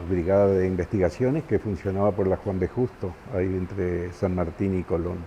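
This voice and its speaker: A man speaks with a very deep, low pitch. His tone is dark and mellow, with fairly even intonation. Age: 70s. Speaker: former political prisoner. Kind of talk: testimony. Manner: halting.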